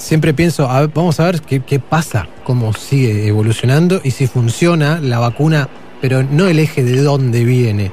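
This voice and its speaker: A man at medium pitch and moderate pace, with very even loudness, ordinary pitch variation and noticeable background noise. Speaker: radio host. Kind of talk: casual chat.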